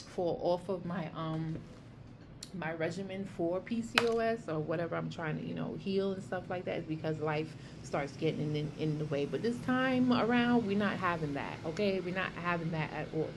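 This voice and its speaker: In a room with audible echo, a woman with a New York accent speaks with ordinary pitch variation. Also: fairly low pitch for a woman. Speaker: health vlogger. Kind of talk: casual vlog monologue. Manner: fast; animated.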